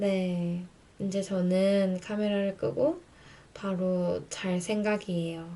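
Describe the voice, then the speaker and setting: Speaking very slowly in a monotone, a woman has a medium-pitched, dark, mellow tone with flat intonation. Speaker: radio-style YouTuber. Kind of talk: casual radio-style chat. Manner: slurred, sleepy speech.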